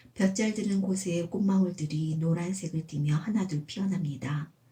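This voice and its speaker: At a moderate pace, a woman speaks in a calm, gentle, dark and mellow tone that is somewhat breathy, with fairly even intonation. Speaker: amateur writer reading own essay. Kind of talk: personal essay audiobook reading.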